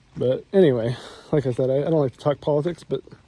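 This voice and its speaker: With noticeable background noise behind him, a man with an American accent speaks in a fairly high voice. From United States. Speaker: vlogger. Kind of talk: casual monologue while walking. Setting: outdoors, walking in the rain. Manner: halting, many repeated words.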